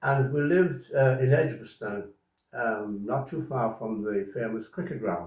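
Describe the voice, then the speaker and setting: A man speaks at a fairly slow pace with a somewhat breathy voice and lively intonation. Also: medium pitch for a man. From Ireland (County Mayo). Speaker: farmer. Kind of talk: interview. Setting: home. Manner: halting.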